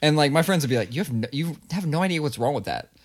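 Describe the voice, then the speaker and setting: Very fast American-accented male speech with vocal fry, in a very clean recording with a silent background. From Ohio, Columbus. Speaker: podcast co-host. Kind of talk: casual chat.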